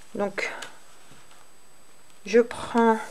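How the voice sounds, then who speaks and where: The speaker is a woman. Her voice is fairly high in pitch. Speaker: crochet tutorial creator. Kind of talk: tutorial. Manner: hesitant, many fillers.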